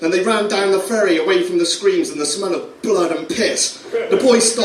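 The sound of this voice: This is an unforced reading voice. It reads the words straight through.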